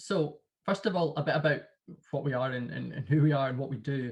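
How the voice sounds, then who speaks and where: With a Glasgow accent, a man speaks somewhat breathily at a fairly quick pace. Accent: Glasgow, Scottish. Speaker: sales consultant. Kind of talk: webinar presentation. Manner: repetitive fillers.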